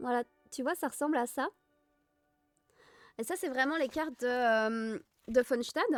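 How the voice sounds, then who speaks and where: Soft-spoken and calm, a woman talks at a high pitch and a fairly slow pace with ordinary pitch variation, leaving long, frequent pauses while music plays in the background. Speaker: Tolkien fan streamer. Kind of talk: casual livestream talk to chat. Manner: soft, calm.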